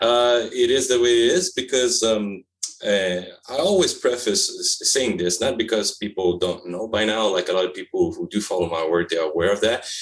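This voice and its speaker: With a Quebec accent, a man talks at a moderate pace and medium pitch, his intonation lively, over noticeable background noise. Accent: French-Canadian accent in English. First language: French. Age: 40s. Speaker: publisher and author. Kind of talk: interview. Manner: halting, many fillers.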